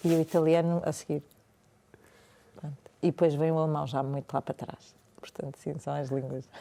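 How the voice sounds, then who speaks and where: A woman speaks in a very deep, low pitch and a dark, mellow tone, moving at a fairly quick pace with fairly even intonation and long, frequent pauses. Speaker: meditation and yoga teacher, former journalist. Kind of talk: podcast interview. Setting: cold room, podcast studio.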